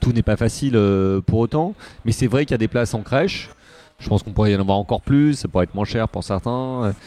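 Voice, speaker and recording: A man talks very fast at a medium pitch, with ordinary pitch variation and a dark, mellow tone. His speech has long, frequent pauses, and the sound is dry and close with no echo. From Paris, left bank. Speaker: podcast host and local politician. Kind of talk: interview. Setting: restaurant. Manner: halting, many hesitations.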